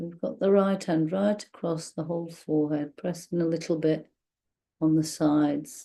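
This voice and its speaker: Soft-spoken and gentle, a woman speaks in a dark, mellow tone. Her pitch is fairly low and her intonation fairly even. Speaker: meditation guide. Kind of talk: guided meditation. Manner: slow, gentle.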